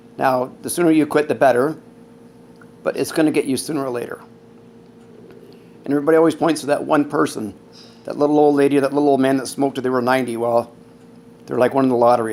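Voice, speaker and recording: This man speaks at a very fast pace in a medium pitch. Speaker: vlogger with terminal lung disease. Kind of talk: personal vlog. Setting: at home. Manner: less energetic than before.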